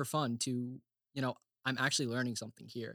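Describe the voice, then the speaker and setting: In a dry, close sound with no echo, a man speaks in a plain, everyday voice at medium pitch. He has an American accent and a moderate pace. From Oklahoma. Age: 20s. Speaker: theology grad student. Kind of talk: casual chat.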